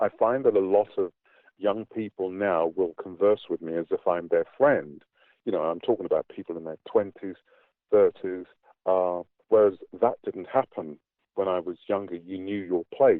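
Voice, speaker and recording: Here a man speaks with a British accent at a fairly low pitch. His pace is moderate and his pitch variation ordinary. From England. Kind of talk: interview answer. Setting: online call.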